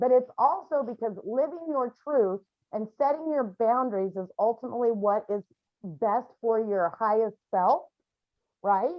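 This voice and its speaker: Her intonation is lively and her pitch fairly high for a woman. She speaks at a fairly slow pace. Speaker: grief support group facilitator. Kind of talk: support group session. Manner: loud.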